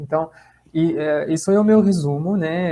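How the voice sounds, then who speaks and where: A man with a French accent speaks in a dark, mellow tone and fairly even intonation. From France. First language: French (speaking Portuguese). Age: 30s. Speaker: lecturer on gamification, social impact professional. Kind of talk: online talk / webinar. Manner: hesitant, many fillers and repetitions.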